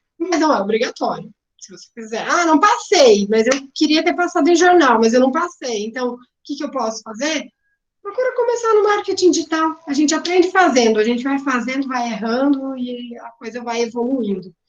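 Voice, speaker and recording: A woman talks at a moderate pace with a high pitch. Her pitch swings very widely. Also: big swings in loudness. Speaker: marketing professional. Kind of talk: career talk.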